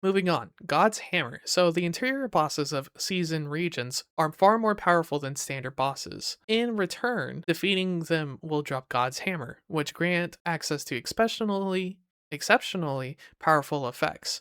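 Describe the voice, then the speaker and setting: Speech at a moderate pace with hardly any pauses, on a very clean recording against a silent background. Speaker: gaming YouTuber. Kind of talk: casual game news commentary. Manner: excited, animated.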